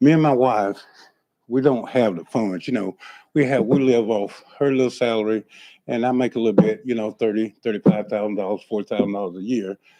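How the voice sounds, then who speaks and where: In a Southern US accent, a man talks fairly quickly with a dark, mellow tone, in a dry, close sound with no echo. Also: medium pitch for a man, ordinary pitch variation. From Florida. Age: 60s. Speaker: property owner at code hearing. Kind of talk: testimony. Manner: halting.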